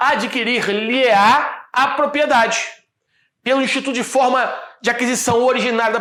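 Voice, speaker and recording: In a room with audible echo, a man uses a raised, projected voice at an extremely high pitch. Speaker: law professor. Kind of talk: lecture. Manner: fast; stumbling over words.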